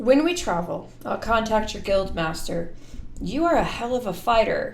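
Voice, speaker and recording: A female-sounding, raspy put-on character voice comes at a fairly high pitch and a moderate pace. Clear background noise sits behind it. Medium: read story.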